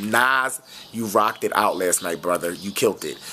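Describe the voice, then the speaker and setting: Noticeable background noise surrounds a man with a fairly low pitch. His pace is moderate. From West Philadelphia. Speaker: celebrity fashion vlogger. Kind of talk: casual vlog review. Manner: animated.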